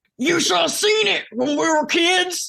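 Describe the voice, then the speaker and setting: Putting on a character voice, a woman speaks at a fairly slow pace in an extremely high, strained pitch with lively intonation. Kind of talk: comic dramatic reading. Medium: read story.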